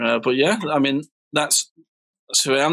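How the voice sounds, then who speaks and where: Talking at a very fast pace, a man with a Mancunian accent has a fairly high pitch, a bright, sharp tone and fairly even intonation. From northern England, Manchester. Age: 30s. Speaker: DJ and music producer. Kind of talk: casual interview chat.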